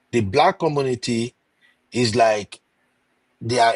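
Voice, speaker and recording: Speaking at a fairly slow pace, a man uses a medium pitch with ordinary pitch variation in a dry, close sound with no echo. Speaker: YouTuber, relationship commentator. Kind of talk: podcast interview discussion. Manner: calm, not shouting.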